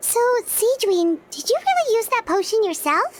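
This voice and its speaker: A put-on character voice sounds squeaky, with lively intonation. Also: woman, extremely high pitch for a woman, moderate pace. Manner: surprised.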